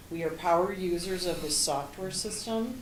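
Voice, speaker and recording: The voice keeps a fairly even intonation, with audible room echo and noticeable background noise. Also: woman. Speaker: interim finance director. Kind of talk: presentation. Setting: township board meeting. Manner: fast.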